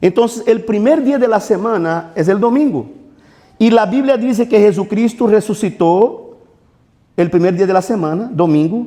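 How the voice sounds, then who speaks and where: This man's voice sits high for a man and has a dark, mellow tone, swinging very widely in pitch at a moderate pace. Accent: Portuguese. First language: Portuguese (speaking Spanish). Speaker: pastor. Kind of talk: sermon.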